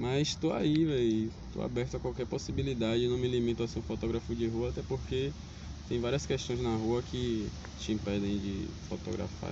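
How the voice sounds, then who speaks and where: A man speaks quickly, at a fairly quick pace, in a fairly low pitch with lively intonation and audible room echo. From Salvador, Bahia, Brazil. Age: 20s. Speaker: street photographer. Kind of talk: casual interview. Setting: outdoors in a public square.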